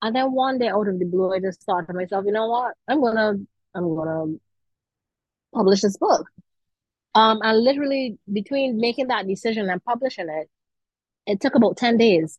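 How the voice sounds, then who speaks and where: With a Barbadian accent, a woman speaks at a moderate pace and a fairly high pitch, using ordinary pitch variation and long, frequent pauses. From Barbados. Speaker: author. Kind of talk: interview.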